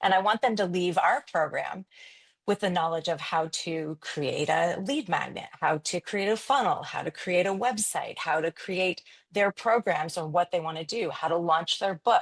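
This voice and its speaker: Against a quiet background, a woman talks in a normal speaking voice at a medium pitch with ordinary pitch variation. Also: moderate pace, dry, close sound with no echo. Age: 50s. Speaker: photographer and business coach. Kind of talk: interview.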